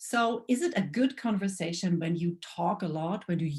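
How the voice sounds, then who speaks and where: With a German accent, a woman speaks at a fairly slow pace, somewhat breathy, with lively intonation. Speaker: lecturer. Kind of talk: lecture. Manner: halting.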